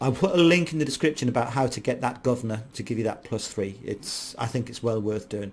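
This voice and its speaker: This man speaks at a very fast pace with hardly any pauses. His voice is somewhat breathy. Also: medium pitch for a man, ordinary pitch variation. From Ireland. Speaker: gaming YouTuber. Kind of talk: gameplay commentary. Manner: casual, hesitant with fillers.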